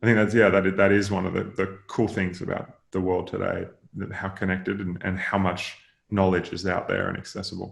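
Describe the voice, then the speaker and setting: In an Australian accent, a man with a very deep, low voice talks fairly quickly in a flat monotone against a quiet background. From Australia, rural Queensland. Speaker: venture capital investor. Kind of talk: podcast interview. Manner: hesitant, many fillers and repeats.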